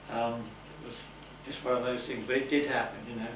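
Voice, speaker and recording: A man's medium-pitched, monotone voice with flat intonation, audible room echo and noticeable background noise. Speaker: lighthouse keeper. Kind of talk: interview. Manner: relaxed.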